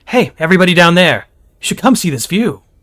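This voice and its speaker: Putting on a character voice, a man speaks very fast at a high pitch, his voice raised and projected and his tone upbeat. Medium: read story. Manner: upbeat, casual.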